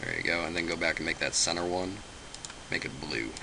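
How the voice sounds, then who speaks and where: Noticeable background noise runs behind a man's voice. He talks at a very fast pace with a very deep, low pitch. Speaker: software tutorial maker. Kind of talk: tutorial. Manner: halting, many fillers.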